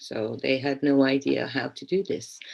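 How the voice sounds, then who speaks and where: Speaking at a moderate pace, a woman talks with a Hungarian accent. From Hungary. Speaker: teacher educator. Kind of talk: keynote speech. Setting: online conference. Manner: hesitant, many repetitions and fillers.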